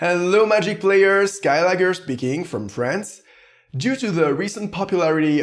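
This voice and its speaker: A man with a French accent, at a fairly slow pace, with very wide pitch swings, on a very clean recording with a silent background. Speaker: gaming YouTuber, card game commentator. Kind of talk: gameplay commentary. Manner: careful, deliberate pronunciation.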